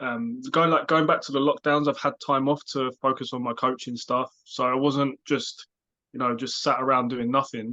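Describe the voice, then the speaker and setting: A man with a British accent speaks at a moderate pace in a bright, sharp tone with a fairly high pitch and fairly even intonation. The sound is dry and close with no echo, over a quiet background. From UK. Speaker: life coach and podcast co-host. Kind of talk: casual chat.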